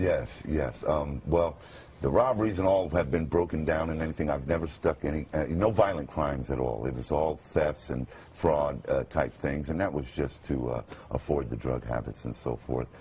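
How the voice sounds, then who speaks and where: Noticeable background noise sits behind a man with a very deep, low pitch, who speaks at a moderate pace with ordinary pitch variation. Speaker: radio announcer. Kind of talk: interview answer.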